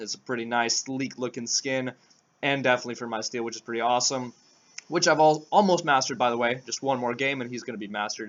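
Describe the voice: Racing along at a very fast pace, a man does a put-on character voice that is raspy, at a medium pitch with ordinary pitch variation.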